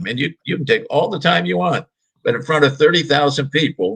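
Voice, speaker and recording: This man's bright, sharp voice shows vocal fry, very wide pitch swings and a fairly quick pace. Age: 70s. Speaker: sports podcast host and baseball writer. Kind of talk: casual chat. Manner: halting, repeats words.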